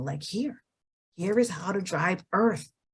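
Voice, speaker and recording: With an unremarkable speaking voice, a woman talks at a moderate pace using lively intonation. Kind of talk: testimonial conversation.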